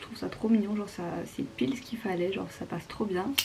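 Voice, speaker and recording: Fairly quick speech from a woman, against noticeable background noise. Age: 20s. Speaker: beauty vlogger. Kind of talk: casual vlog narration. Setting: at home in bedroom, late night. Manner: casual, filler-heavy; whispering in part.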